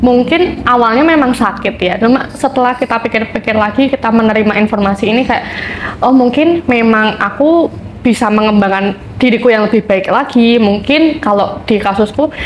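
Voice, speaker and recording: A woman's voice at a very even loudness, over noticeable background noise. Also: fairly high pitch for a woman, ordinary pitch variation, moderate pace. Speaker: student guest speaker. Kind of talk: podcast discussion.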